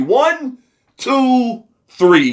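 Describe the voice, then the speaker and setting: A man talks in an animated tone. His voice sits high in pitch. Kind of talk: opinion rant to camera. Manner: emphatic, animated.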